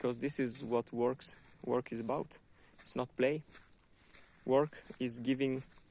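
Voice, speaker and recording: With a non-native accent, the speaker talks at a fairly slow pace in a monotone, flat intonation, leaving long, frequent pauses. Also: man, medium pitch for a man. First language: not English. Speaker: book reviewer, vlogger. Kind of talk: book review monologue. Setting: outdoors in a wood. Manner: halting, many fillers and repetitions.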